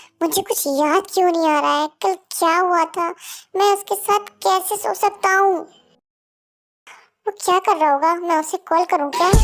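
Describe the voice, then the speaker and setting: Someone uses a put-on character voice with an extremely high pitch at a moderate pace. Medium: read story.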